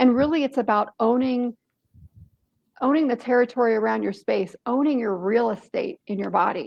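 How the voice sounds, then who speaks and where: Her voice is high-pitched and animated, with ordinary pitch variation, as this woman speaks at a moderate pace. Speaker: author and workshop presenter. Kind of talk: online workshop talk.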